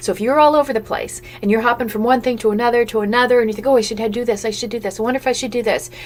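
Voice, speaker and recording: Over music in the background, a woman talks at a very fast pace in a fairly high pitch with ordinary pitch variation. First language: Italian or German. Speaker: business coach. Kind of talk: live webinar sales talk. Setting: live stream. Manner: animated.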